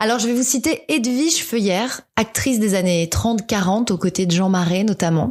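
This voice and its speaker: Moderately paced, somewhat breathy speech from a woman, fairly high in pitch and lively in intonation. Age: 30s. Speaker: podcaster. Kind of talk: personal podcast monologue. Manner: reflective, nostalgic.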